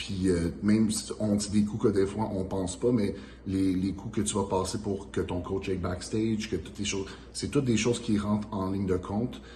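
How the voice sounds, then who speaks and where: With a Quebec French accent, a man speaks at a fairly low pitch and with fairly even intonation, with audible room echo. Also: fairly quick pace. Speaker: pro bodybuilder, channel host. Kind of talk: casual Q&A chat.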